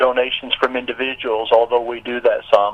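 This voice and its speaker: A man's voice with noticeable background noise. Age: 60s. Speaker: nonprofit director and businessman. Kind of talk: radio interview.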